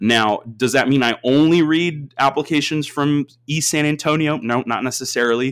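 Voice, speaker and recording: Energetic and with hardly any pauses, a man with a fairly high pitch and an American accent speaks at a moderate pace. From Austin, Texas. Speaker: university admissions advisor. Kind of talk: interview.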